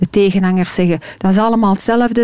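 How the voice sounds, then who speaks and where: Speaking fairly quickly in a Flemish accent, a woman keeps a medium pitch and fairly even intonation against noticeable background noise. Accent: Flemish Dutch. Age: 40s. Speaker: menopause consultant and author. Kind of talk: interview.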